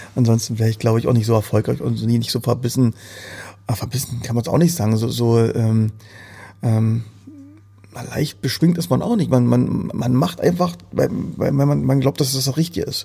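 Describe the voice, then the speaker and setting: At a moderate pace and medium pitch, a man speaks with a dark, mellow, somewhat breathy tone and lively intonation, leaving long, frequent pauses. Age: 40s. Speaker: entrepreneur. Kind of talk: interview. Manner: halting.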